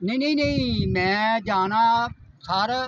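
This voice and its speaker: A high-pitched man with very wide pitch swings, over noticeable background noise. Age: old. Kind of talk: interview answer. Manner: simple, earnest.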